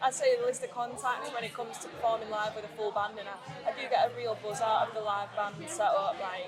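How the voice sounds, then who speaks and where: With music in the background and audible room echo, a woman in a Mancunian accent speaks at a moderate pace with a fairly high pitch and ordinary pitch variation. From Greater Manchester, England. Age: 30s. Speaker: singer-songwriter. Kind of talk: interview.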